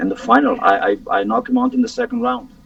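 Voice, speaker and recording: A man rattles along at a very fast pace with noticeable background noise behind him. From Romania. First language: Romanian. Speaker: MMA fighter. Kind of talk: interview. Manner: halting, repetitive.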